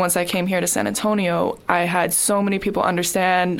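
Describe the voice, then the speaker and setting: Fairly quick, medium-pitched female speech over noticeable background noise. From moved around US, Chicago and Texas. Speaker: college student, former foster youth. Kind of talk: recorded testimony.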